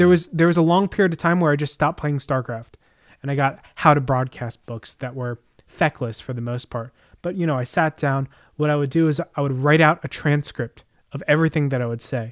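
Recorded very cleanly with a silent background, the sound is dry and close with no echo. The man has an unremarkable speaking voice, a fairly high pitch, an American accent and a fairly quick pace. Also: ordinary pitch variation. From New Jersey, Jersey Shore. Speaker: podcast co-host. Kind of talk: casual chat.

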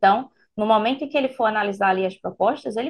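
A woman's fairly high pitch with ordinary pitch variation, a plain, everyday voice. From Pernambuco, Brazil. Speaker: public procurement instructor. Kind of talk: explanatory interview chat.

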